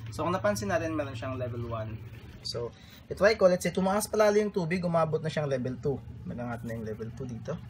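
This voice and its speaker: A man speaks very fast, somewhat breathy, with very wide pitch swings. Light background noise can be heard. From Philippines. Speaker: electronics hobbyist; electronics hobbyist demonstrating project. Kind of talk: tutorial. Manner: halting. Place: home room. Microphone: phone near.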